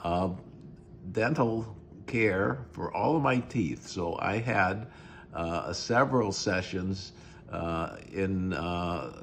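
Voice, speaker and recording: A man speaks at a very slow pace in a very deep, low pitch. Audible room echo surrounds his voice. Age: 80s+. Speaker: dental patient. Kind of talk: testimony. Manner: halting.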